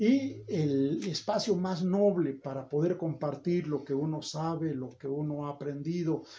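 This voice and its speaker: A normal speaking voice from a man, fairly high in pitch, with ordinary pitch variation and a fairly slow pace. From Mexico, State of Mexico (Toluca area). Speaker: academic and political aspirant. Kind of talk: interview. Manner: formal.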